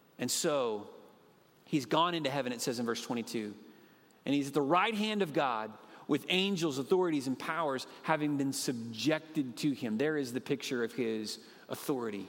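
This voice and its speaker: A man speaks in an unremarkable speaking voice at a moderate pace. His pitch is fairly high and his intonation lively. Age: 40s. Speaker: pastor. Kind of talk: sermon. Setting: church.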